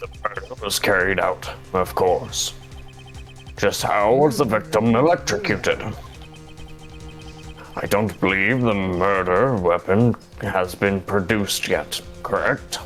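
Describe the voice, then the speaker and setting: Against clear music in the background, a man puts on a character voice with a fairly low pitch at a fairly slow pace. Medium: game stream. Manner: formal, hesitant.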